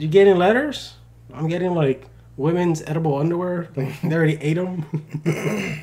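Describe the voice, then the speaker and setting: A high male voice over noticeable background noise. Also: moderate pace. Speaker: podcast co-host. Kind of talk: casual chat. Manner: animated.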